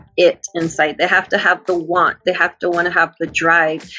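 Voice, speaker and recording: Noticeable background noise sits behind a woman speaking at a moderate pace. She has an American accent and a medium pitch. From Texas, Uvalde. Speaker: filmmaker and talent manager. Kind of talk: casual chat. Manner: animated.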